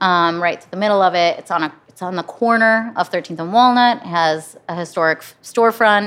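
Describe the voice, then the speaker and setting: With an American accent and a medium pitch, a woman talks at a fairly quick pace with hardly any pauses, ordinary pitch variation and big swings in loudness over a quiet background. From US Midwest, Flint, Michigan. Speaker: bar owner and designer. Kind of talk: casual interview. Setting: construction site of new bar.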